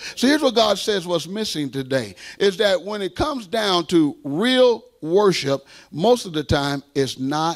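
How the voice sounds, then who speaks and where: A high-pitched man speaks in an animated tone at a fairly slow pace. His pitch swings very widely over a quiet background. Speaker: preacher. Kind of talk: sermon. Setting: church. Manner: animated, exhorting, rhetorical questions and call-and-response; conversational, direct audience address. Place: church. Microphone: handheld.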